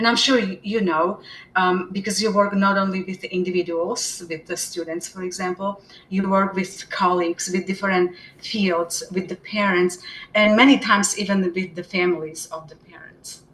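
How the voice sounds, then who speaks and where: A woman in a Slovak accent at a moderate pace, medium in pitch, with fairly even intonation, big swings in loudness and noticeable background noise. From Slovakia. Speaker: special education department head. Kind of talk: interview. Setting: live webinar.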